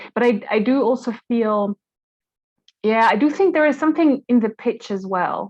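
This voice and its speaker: Lively intonation at a moderate pace with a German accent. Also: woman, fairly high pitch for a woman. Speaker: podcaster and language professional. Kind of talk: Q&A question. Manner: animated, lots of intonation movement; hard attack on consonants.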